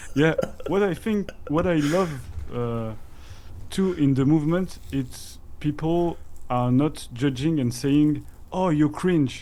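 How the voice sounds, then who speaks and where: A man speaks very slowly, with long, frequent pauses. His tone is dark and mellow, his pitch fairly high, with ordinary variation. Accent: French. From France. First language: French. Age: 30s. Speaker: crypto community guest. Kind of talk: casual interview chat. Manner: halting.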